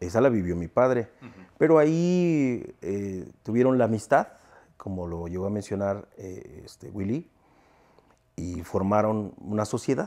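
Over a quiet background, a man speaks at a fairly slow pace and fairly low pitch, with a dark, mellow tone and lively intonation. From Mexico. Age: 40s. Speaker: sound system owner; interviewee. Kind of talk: interview. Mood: relaxed, reminiscing. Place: home room.

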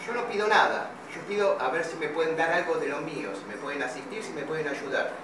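A man's fairly high pitch, lively intonation, and fairly quick pace, with audible room echo and noticeable background noise. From Argentina, Buenos Aires area. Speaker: father appealing for help. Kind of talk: personal video appeal. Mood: pleading, hurt. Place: shop. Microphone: phone near.

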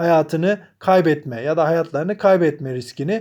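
A man with a high pitch speaks in a dark, mellow tone with ordinary pitch variation. The recording is very clean, with a silent background. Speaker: English teacher. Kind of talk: tutorial.

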